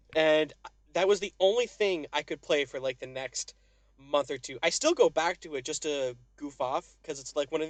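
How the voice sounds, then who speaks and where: In a dry, close sound with no echo, a man speaks at a fairly high pitch and moderate pace, with ordinary pitch variation and big swings in loudness. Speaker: gaming podcast co-host. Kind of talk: casual chat. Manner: animated.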